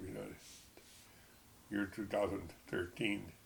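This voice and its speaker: Amid audible room echo, a man with a very deep, low pitch and an American accent talks at a moderate pace with lively intonation and vocal fry. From Texas. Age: 70s. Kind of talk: personal testimony. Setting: at home. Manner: halting.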